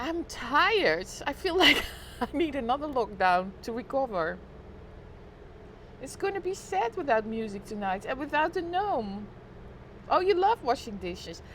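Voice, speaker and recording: With a Dutch accent, a woman speaks high with very wide pitch swings. Her moderate pace is broken by long, frequent pauses. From Netherlands. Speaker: live streamer. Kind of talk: casual chat. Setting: live stream on balcony.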